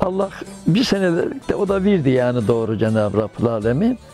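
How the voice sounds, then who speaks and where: Against faint music in the background, a man's voice shows very wide pitch swings in a dry sound with no echo. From Karapınar, Konya, Turkey. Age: 80s+. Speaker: tailor. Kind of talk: interview answer. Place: home room. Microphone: lapel.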